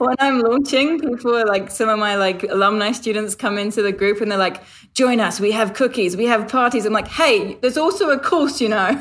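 A woman talks at a fairly quick pace with hardly any pauses and very even loudness. Her pitch is fairly high with ordinary variation, over noticeable background noise. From London, England. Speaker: online business coach. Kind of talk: podcast interview.

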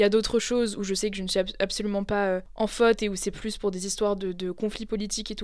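A woman at a medium pitch, talking at a very fast pace with hardly any pauses. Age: 20s. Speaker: podcast host. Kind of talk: casual chat. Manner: animated.

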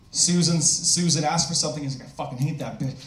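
There is noticeable background noise in this clip. Through it, a man talks. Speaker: stand-up comedian and producer. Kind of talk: stand-up comedy set. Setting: stage with audience.

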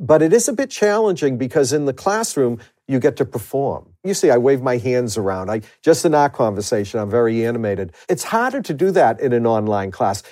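Someone with a Boston accent talks at a fairly quick pace. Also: man, very clean recording, silent background. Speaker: university administrator and professor. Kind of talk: interview, conversational.

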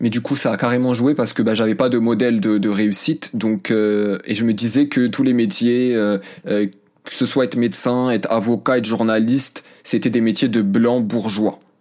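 Fairly slowly, a man talks at a medium pitch. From France, of Moroccan parents. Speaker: journalist and podcaster. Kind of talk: interview. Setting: remote call. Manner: hesitant, many fillers.

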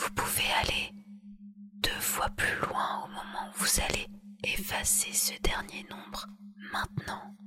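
Someone whispers in a soothing tone at a very slow pace. Long, frequent pauses break up the speech over noticeable background noise. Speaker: hypnotherapist. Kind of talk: guided hypnosis, sleep induction. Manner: very slow, soft, soothing, hypnotic, repetitive.

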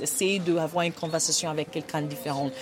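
A woman with a Nigerian accent speaks with ordinary pitch variation over noticeable background noise. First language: Igbo (speaking French). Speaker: women's rights advocate. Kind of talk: podcast interview. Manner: halting.

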